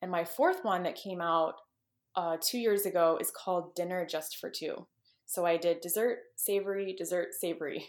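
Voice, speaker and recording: An ordinary speaking voice, a woman with a fairly low pitch and an American accent, at a moderate pace with fairly even intonation, in a very clean recording with a silent background. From Texas. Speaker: cookbook author and food blogger. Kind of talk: podcast interview.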